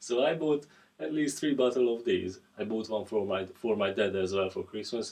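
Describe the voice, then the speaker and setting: A man with a non-native accent talks at a moderate pace, his medium pitch showing ordinary variation. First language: not English. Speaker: guitar reviewer. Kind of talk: product review. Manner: halting, repeats words; casual.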